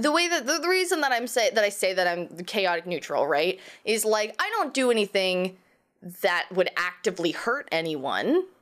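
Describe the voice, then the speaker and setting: Her loudness stays very even while this woman's medium pitch swings very widely. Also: moderate pace. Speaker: podcast host. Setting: video call.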